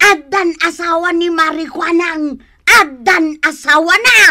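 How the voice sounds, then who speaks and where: Put-on character voice with an extremely high pitch at a fairly slow pace. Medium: audio drama. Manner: excitable, exclaiming.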